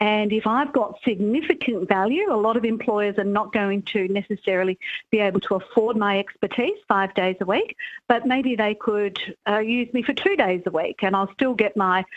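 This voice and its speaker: A fairly high-pitched woman's voice with an Australian accent, at a moderate pace and very even loudness. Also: ordinary pitch variation. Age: 60s. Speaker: author and careers commentator. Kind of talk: radio interview.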